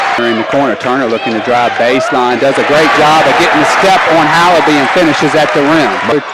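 A man talks at a fairly quick pace with hardly any pauses, very even loudness and ordinary pitch variation, his voice dry with no echo over loud background noise. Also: fairly high pitch for a man. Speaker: play-by-play announcer. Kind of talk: live basketball play-by-play commentary, clipped fragments. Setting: courtside at home gym. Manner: rapid, clipped calls tracking each pass and shot; rising excitement at scoring plays and the closing free throws. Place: stadium. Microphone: headset.

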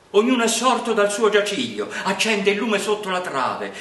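Pitched high for a man, a man's voice carries audible room echo. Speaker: poetry reader. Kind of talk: poetry reading. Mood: calm, warm, expressive.

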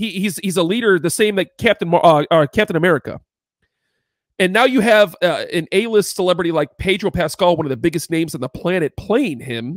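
A man talks at a fairly quick pace with a high pitch and lively intonation. The sound is dry with no echo, over a quiet background. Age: 30s. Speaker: podcast co-host. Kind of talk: casual chat. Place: home room. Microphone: studio mic.

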